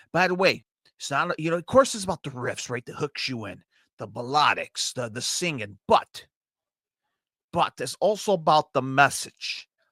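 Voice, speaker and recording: In a Chicago accent, a man with a fairly high pitch and a bright, sharp tone talks at a moderate pace with an animated tone and lively intonation, in a very clean recording with a silent background and a dry, close sound with no echo. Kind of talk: casual music review.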